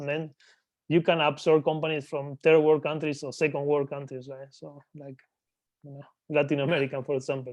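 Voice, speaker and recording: A man's fairly high-pitched voice with a Spanish accent. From Argentina. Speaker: business acquirer. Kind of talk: interview.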